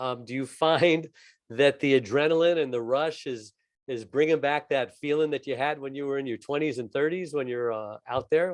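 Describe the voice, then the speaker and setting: A man with a fairly high pitch and an unremarkable speaking voice, moderate pace, ordinary pitch variation, quiet background. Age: 60s. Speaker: co-host. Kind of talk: interview.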